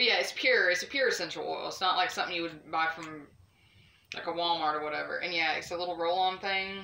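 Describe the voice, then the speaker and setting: Talking at a very fast pace with fairly even intonation, the speaker has a Southern US accent over noticeable background noise. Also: woman, fairly low pitch for a woman. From American South. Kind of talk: casual.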